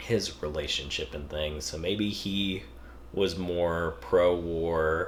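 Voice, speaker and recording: A man with fairly even intonation is heard against noticeable background noise. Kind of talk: casual review talk. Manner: hesitant, many filler sounds.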